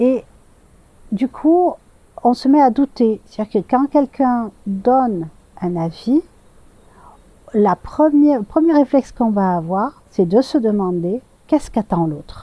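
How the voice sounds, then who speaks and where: A woman's fairly high voice has a dark, mellow tone and very wide pitch swings, with long, frequent pauses. The sound is dry and close with no echo. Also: fairly slow pace. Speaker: tarot and oracle card reader. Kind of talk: channeled guidance message. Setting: outdoors. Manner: slow; hesitant, many fillers.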